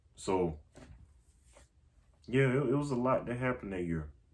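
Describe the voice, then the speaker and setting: Speaking at a moderate pace, a man uses lively intonation and an animated tone. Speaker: vlogger. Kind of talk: casual monologue. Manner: halting, repeats words.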